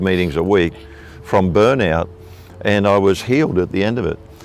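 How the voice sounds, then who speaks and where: A man with a very deep, low voice and an Australian accent speaks at a moderate pace over music in the background. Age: 60s. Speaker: evangelist preacher. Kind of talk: interview testimony.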